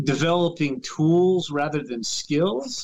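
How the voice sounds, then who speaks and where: With an unremarkable speaking voice, a man talks at a fairly slow pace and a fairly high pitch, his pitch varying in an ordinary way. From US, Northern Virginia. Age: 50s. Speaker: baseball writer. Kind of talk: interview.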